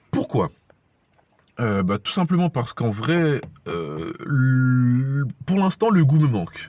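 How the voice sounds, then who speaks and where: This man's tone is dark and mellow, and his pitch swings very widely. He talks at a very slow pace. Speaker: vlogger. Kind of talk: casual vlog. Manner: animated.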